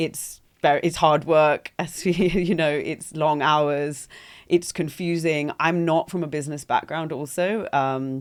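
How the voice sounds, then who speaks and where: In a London accent, a woman with a very deep, low pitch speaks at a fairly slow pace with fairly even intonation. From London, England. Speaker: entrepreneur. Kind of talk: podcast interview. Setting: podcast studio.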